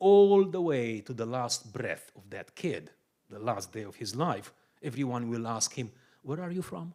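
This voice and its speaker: Big swings in loudness and very wide pitch swings run through a man's dark, mellow, medium-pitched voice at a moderate pace. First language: Romanian. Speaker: pastor. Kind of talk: sermon-style teaching talk.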